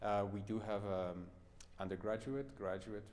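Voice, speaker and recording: Audible room echo around a man speaking. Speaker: pianist and piano professor. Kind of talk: masterclass closing chat.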